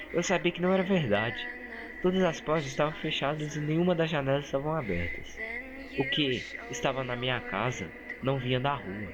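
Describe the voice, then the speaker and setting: A man's fairly high voice swings very widely in pitch at a moderate pace, with noticeable background noise behind him. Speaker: creepypasta narrator. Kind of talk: horror story narration.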